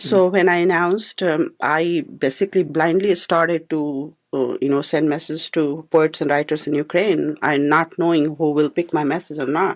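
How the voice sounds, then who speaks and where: A woman's very deep, low voice with an Indian accent, fairly even intonation, and a moderate pace against a quiet background. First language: Hindi. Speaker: poet and filmmaker. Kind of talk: radio interview answer.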